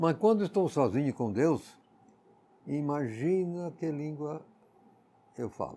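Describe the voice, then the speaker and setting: A man with a fairly high pitch talks very slowly, leaving long, frequent pauses. His intonation is lively. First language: English (speaking Portuguese). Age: 80s+. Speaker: Bible teacher. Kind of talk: Bible exposition.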